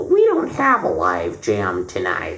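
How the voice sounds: The speaker uses a put-on character voice that sounds nasal and moves at a fairly slow pace.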